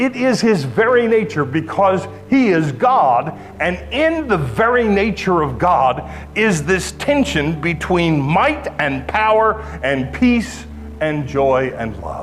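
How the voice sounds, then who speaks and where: A man talks at a very slow pace in a high voice, his pitch swinging very widely. Music plays behind him, and the room echo is audible. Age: 60s. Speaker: pastor. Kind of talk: sermon.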